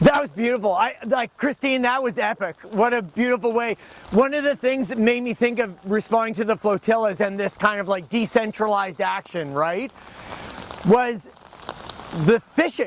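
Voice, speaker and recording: A man speaks at a moderate pace in a high voice, with ordinary pitch variation and noticeable background noise. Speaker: professor. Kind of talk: teach-in speech at a rally. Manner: halting.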